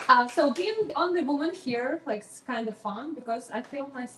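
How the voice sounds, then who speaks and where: Over noticeable background noise, a woman speaks with a Ukrainian accent. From Ukraine. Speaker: stand-up comedian. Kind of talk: stand-up. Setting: stage with audience.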